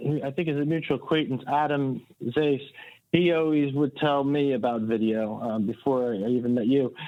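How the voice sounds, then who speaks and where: A man with a Delaware accent talks at a fairly slow pace, his pitch fairly high with ordinary variation. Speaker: website marketing consultant. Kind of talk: podcast interview.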